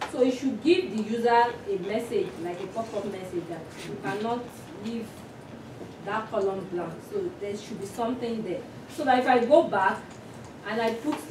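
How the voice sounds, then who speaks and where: The speaker goes at a moderate pace with long, frequent pauses and big swings in loudness, over noticeable background noise. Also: woman. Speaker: instructor. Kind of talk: lecture. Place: classroom. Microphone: camera far.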